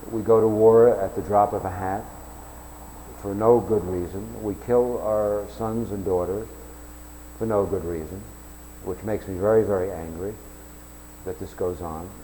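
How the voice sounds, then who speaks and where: A man with an American accent speaks at a moderate pace in a fairly low voice, with ordinary pitch variation and long, frequent pauses. The room echo is audible. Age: 60s. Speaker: self-declared presidential candidate. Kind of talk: campaign announcement monologue. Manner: halting, with repeated restarts.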